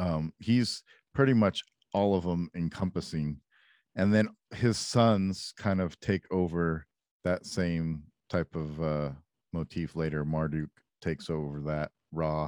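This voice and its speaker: The voice moves at a very slow pace with ordinary pitch variation. The sound is dry and close, with no echo. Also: man, very deep, low pitch for a man. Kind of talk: casual chat. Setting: video call. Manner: crude, joking.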